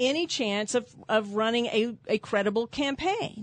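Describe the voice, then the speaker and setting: A woman speaks in a Texan accent. Her pitch is high, with ordinary variation. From San Antonio, Texas. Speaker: trial lawyer and judicial candidate. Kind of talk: radio interview. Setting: studio.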